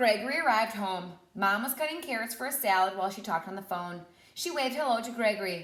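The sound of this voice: This is an unforced reading voice. It reads the words aloud.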